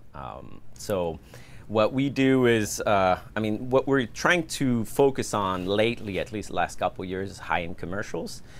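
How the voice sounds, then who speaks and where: A man speaks with a French accent, his pitch fairly low and his intonation lively. His loudness swings widely at a moderate pace. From France, Paris suburbs. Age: 30s. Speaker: filmmaker and production company owner. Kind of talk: podcast interview.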